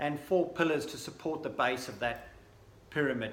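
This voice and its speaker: A man speaks at a moderate pace with fairly even intonation. Audible room echo and noticeable background noise fill the recording. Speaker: sports nutrition brand representative. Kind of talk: recorded presentation. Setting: pre-recorded video, not in person.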